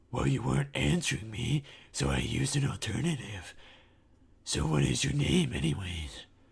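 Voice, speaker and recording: Putting on a character voice, a man speaks raspily at a very deep, low pitch with very wide pitch swings and a moderate pace. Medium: read story. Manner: smirking, cocky.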